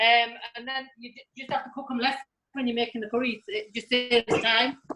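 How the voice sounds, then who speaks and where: Over music in the background, a woman with a high pitch talks at a fairly quick pace with big swings in loudness. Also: fairly even intonation. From northern England, Middlesbrough. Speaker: cooking session guest cook. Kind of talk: cooking tutorial; casual chat.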